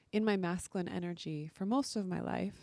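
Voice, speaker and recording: A soft-spoken woman talks at a moderate pace with a dark, mellow tone and fairly low pitch. The sound is dry and close, with no echo. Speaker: podcast host and women's coach. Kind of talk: podcast monologue.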